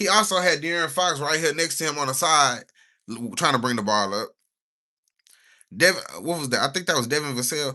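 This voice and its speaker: A fairly high-pitched man with an American accent at a fairly quick pace, bright and sharp in tone, with lively intonation against a quiet background. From Texas, Houston. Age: 20s. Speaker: streamer. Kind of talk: live stream casual chat. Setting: live stream at PC. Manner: casual, rambling.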